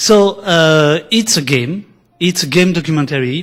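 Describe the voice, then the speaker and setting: A man with a French accent speaks at a fairly slow pace in a fairly high pitch with ordinary pitch variation. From France. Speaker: documentary filmmaker. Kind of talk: conference presentation. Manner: halting.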